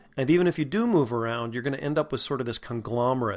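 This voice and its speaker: A man with a General American accent, very fast pace, ordinary pitch variation and a quiet background. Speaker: acting coach podcast host. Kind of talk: tutorial.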